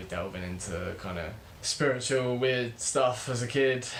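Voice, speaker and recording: With a British accent, a man talks at a moderate pace and ordinary pitch variation, with noticeable background noise and audible room echo. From UK. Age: 20s. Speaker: spiritual teacher, channel host. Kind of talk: casual vlog monologue.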